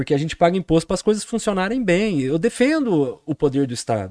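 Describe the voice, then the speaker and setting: A man speaks with a fairly high pitch and a dark, mellow tone. His intonation is lively, and the background is quiet. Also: dry, close sound with no echo. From Brazil, Poços de Caldas (southern Minas Gerais). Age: 40s. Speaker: political candidate and teacher. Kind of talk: podcast interview. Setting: studio.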